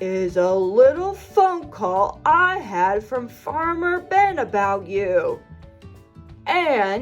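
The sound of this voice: A put-on character voice, female-sounding and growling, stern in tone, fairly high in pitch with very wide pitch swings, at a very slow pace over faint music in the background.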